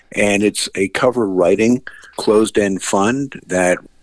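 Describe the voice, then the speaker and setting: A man speaks in a plain, everyday voice at a fairly slow pace with ordinary pitch variation. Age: 60s. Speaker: financial analyst. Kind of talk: radio interview.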